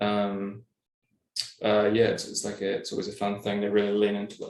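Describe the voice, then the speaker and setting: Spoken at a moderate pace in an English accent, the delivery has monotone, flat intonation. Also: man. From England. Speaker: podcast co-host. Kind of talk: casual chat. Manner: halting, many fillers.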